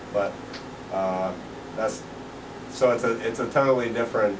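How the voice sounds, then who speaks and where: A man with an American accent keeps a moderate pace. His intonation stays fairly even over noticeable background noise. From Pennsylvania, USA. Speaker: street preacher. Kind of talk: interview answer. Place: home room. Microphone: camera far.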